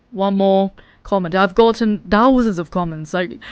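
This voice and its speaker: The speaker is a woman. She has a British accent. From England. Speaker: vlogger. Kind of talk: casual vlog monologue. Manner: animated.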